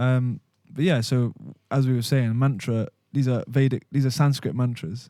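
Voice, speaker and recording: With a Welsh accent, a man speaks at medium pitch with ordinary pitch variation and a dark, mellow tone. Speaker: podcast host. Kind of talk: casual spiritual discussion. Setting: studio, filmed podcast. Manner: words run together.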